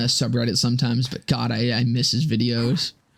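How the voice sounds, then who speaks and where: Fairly quick speech comes in a quiet voice. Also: man. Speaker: streamer and gaming YouTuber. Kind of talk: casual live stream chat. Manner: quiet, low-volume speaking; rambling, filler-heavy.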